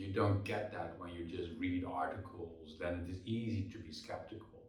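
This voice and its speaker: With a Dutch accent, the speaker keeps a moderate pace and fairly even intonation, hardly pausing, against noticeable background noise. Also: man. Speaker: keynote speaker and author. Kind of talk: interview. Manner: hesitant with fillers and repetitions.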